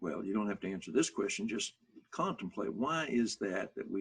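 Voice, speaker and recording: A man with an Arkansas accent at a moderate pace. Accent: Southern US (Arkansas). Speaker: motivational speaker. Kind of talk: workshop talk.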